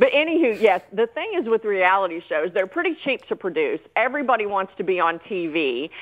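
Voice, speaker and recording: The speaker has a Southern US accent and very wide pitch swings. The pace is fairly quick, with hardly any pauses. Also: woman, medium pitch for a woman. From US South. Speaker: entertainment commentator. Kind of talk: casual chat.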